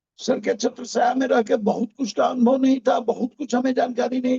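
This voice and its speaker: A man speaks here. His pitch is extremely high. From Bihar, Motihari. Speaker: network marketing team member. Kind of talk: event introduction speech. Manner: formal.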